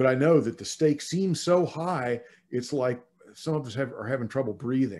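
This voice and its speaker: Here is a plain, everyday voice from a man at a medium pitch. He talks at a moderate pace with ordinary pitch variation. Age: 60s. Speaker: minister. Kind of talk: sermon. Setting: online church service.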